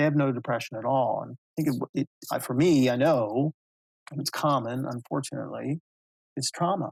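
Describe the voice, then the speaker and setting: Dry and close with no echo, a man with a plain, everyday voice speaks at medium pitch and a moderate pace with fairly even intonation. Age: 60s. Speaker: mental health advocate and speaker. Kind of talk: interview testimony.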